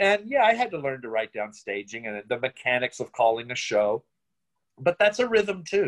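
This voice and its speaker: Against a quiet background, a man with an American accent speaks at a moderate pace and medium pitch, his pitch swinging very widely. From Virginia, Richmond; Virginia. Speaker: playwright and director; interviewee. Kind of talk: interview. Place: home room. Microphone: phone near.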